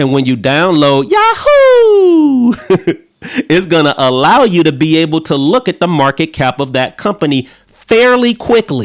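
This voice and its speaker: Keeping very even loudness, a man speaks at a fairly slow pace in a fairly high pitch with very wide pitch swings. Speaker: livestream stock trading teacher. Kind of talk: casual livestream tutorial. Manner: loud, ranting and laughing.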